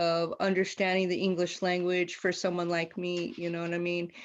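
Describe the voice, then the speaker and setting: This woman has a medium pitch. She speaks at a moderate pace. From Mexican heritage, Aztec. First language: not English. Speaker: panelist. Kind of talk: panel discussion. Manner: passionate.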